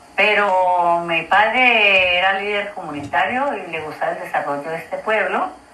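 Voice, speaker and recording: A woman speaks very slowly at a medium pitch, with ordinary pitch variation. Noticeable background noise and audible room echo fill the recording. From Colombia, Cauca/Valle region (rural town). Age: 80s+. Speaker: grandmother sharing memories. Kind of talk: oral history testimony. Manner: halting, with repetitions.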